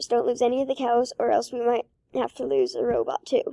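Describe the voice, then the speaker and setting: Putting on a character voice, a woman talks at a fairly quick pace in a high, raspy tone. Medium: read story. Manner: yelling, forceful.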